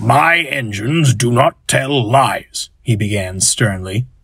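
The speaker is a man. His intonation is lively. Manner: stern, authoritative.

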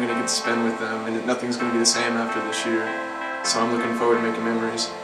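A man speaks with music in the background. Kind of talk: interview answer. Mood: cheerful, reflective. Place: studio.

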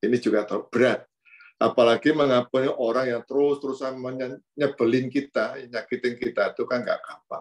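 Against a quiet background, a man talks at a fairly quick pace with monotone, flat intonation. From Indonesia (Pringsewu, Lampung); Indonesia. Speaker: priest giving a reflection. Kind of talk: sermon. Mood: warm, smiling, relaxed. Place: office. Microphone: video call.

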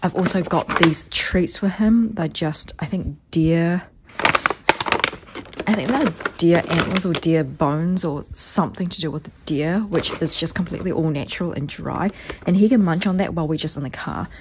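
Against loud background noise, a woman talks at a moderate pace with ordinary pitch variation. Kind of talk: casual vlog chat. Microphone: phone near.

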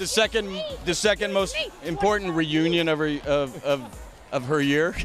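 This man has a high voice with ordinary pitch variation and talks at a moderate pace. Music plays in the background. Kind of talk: interview answer.

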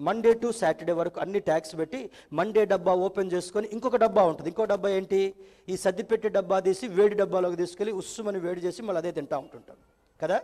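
Against a quiet background, the voice keeps a fairly even intonation. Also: man, high pitch for a man. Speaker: pastor, church preacher. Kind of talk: church sermon in Telugu, with English terms mixed in. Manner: conversational, humorous preaching. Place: church. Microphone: headset.

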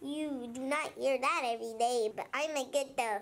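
In a cartoonish character voice, a female-sounding speaker talks at a high pitch. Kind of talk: cartoon character voice.

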